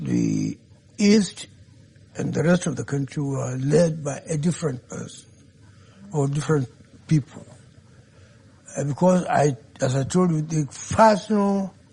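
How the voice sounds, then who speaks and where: Speech in a northern Nigerian accent comes with long, frequent pauses. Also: fairly slow pace. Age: 80s+. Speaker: elder statesman. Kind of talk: interview. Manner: halting.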